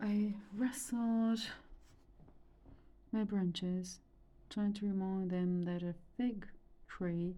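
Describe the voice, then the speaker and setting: The voice has a dark, mellow, calm tone and is somewhat breathy. It moves at a very slow pace with audible room echo. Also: woman. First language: Romanian. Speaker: reader and art therapist. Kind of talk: reading aloud. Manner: calm, meditative.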